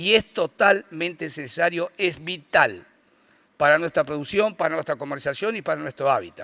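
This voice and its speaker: In a very clean recording with a silent background and a dry, close sound with no echo, a man speaks at a moderate pace with a fairly high pitch, a bright, sharp tone, vocal fry, and ordinary pitch variation. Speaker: rural producers' association representative. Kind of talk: conference talk.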